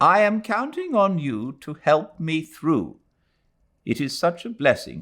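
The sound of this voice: Slow and fairly high in pitch, a man does a put-on character voice with big pitch swings and a fairly bright tone.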